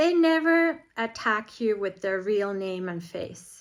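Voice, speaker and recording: On a very clean recording with a silent background, a woman with a Finnish accent speaks at a very slow pace. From Finland. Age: 40s. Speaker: vlogger. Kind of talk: personal monologue vlog.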